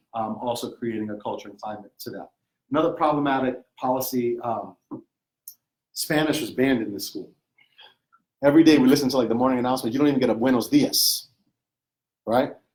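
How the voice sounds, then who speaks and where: A man's medium-pitched voice at a fairly quick pace, with long, frequent pauses and big swings in loudness. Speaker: professor. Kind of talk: lecture. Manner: fast; animated.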